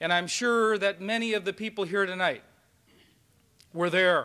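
A man's raised, projected voice in an American accent, high-pitched and bright, sharp in tone, with ordinary pitch variation. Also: quiet background. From Minnesota. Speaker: university chancellor. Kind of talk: speech. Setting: stage with audience. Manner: animated. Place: hall. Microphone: old recording.

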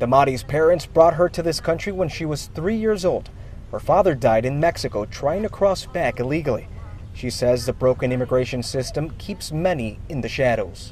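With a normal speaking voice, a man talks at a fairly high pitch and moderate pace, his intonation lively. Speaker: TV news reporter. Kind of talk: TV news field reporting, live stand-up and packaged story voiceover. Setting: recorded news package voiceover.

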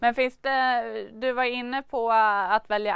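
A woman at a fairly slow pace, dry sound with no echo, quiet background. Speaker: news presenter. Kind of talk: news interview. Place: studio. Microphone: lapel.

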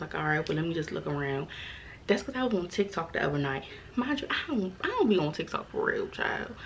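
A woman's fairly low-pitched voice over light background noise. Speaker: vlogger. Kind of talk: casual vlog chat. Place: home room.

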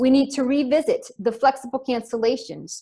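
Somewhat breathy, a woman speaks at a moderate pace with ordinary pitch variation over a quiet background. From US, Florida. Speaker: travel company founder. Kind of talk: webinar presentation. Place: home room. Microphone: webcam.

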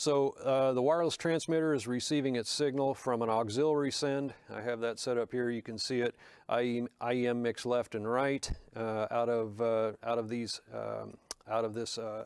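A man at a moderate pace with fairly even intonation, a dry sound with no echo and a quiet background. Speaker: presenter. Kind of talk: tutorial. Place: studio.

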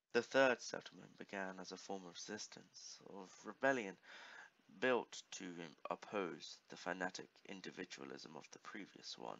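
The voice has a creaky vocal fry. Its loudness swings widely from moment to moment. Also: man, very deep, low pitch for a man, lively intonation, moderate pace. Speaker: gaming YouTuber. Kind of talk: casual gaming commentary with dramatic reading aloud of player-written stories. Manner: casual, chatty, self-deprecating.

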